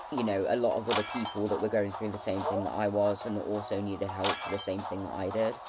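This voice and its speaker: Over noticeable background noise and audible room echo, a man with a fairly low pitch talks at a very fast pace with hardly any pauses and fairly even intonation. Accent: British. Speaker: gaming vlogger. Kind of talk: casual chat.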